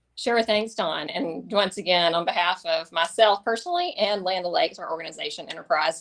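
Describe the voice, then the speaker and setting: A woman's medium-pitched voice at a fairly quick pace, with ordinary pitch variation and hardly any pauses. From US South, Tifton, Georgia. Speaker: government affairs executive. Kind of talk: webinar presentation. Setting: webinar.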